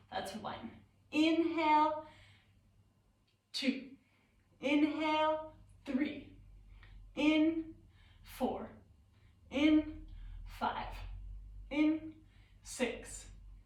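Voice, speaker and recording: A woman speaks loudly at a high pitch, with audible room echo around her. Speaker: yoga teacher. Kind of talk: guided yoga class. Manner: slow breathing cues.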